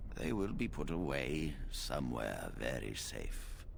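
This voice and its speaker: A man speaks in a put-on character voice at a fairly slow pace. Clear background noise is present. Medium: video game. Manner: grave, measured, authoritative.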